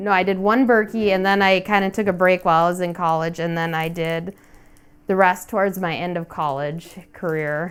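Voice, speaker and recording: This woman has an unremarkable speaking voice and an American accent. Her medium pitch carries fairly even intonation at a moderate pace. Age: 30s. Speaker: cross-country skier. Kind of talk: casual interview.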